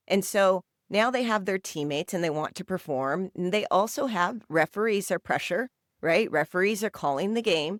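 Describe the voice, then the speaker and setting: With an American accent and a normal speaking voice, a woman talks at a moderate pace and medium pitch with lively intonation, in a dry, close sound with no echo on a very clean recording with a silent background. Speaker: youth soccer coach and podcast co-host. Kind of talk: casual podcast discussion. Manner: conversational with many fillers.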